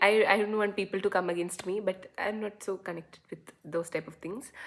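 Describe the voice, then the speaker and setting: With a Keralan accent, a woman keeps a medium pitch, a moderate pace and fairly even intonation. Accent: Indian English, Malayali. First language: Malayalam. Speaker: YouTuber. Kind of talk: casual talking-head vlog. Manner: halting, with many fillers.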